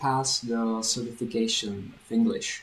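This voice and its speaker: Someone with a Czech accent talks at a fairly slow pace amid noticeable background noise. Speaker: language teacher. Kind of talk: vlog. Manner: clear.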